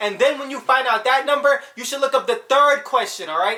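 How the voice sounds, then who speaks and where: The voice is raised and projected, with an animated tone. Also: man. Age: 20s. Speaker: youtuber giving life advice. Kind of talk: casual vlog monologue. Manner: fast.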